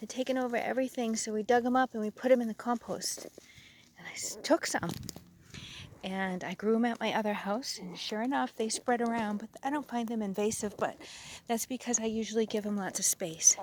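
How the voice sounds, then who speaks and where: Whispering from a woman at a fairly quick pace, with big swings in loudness. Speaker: gardener. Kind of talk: garden tour vlog. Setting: outdoors. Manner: chatty.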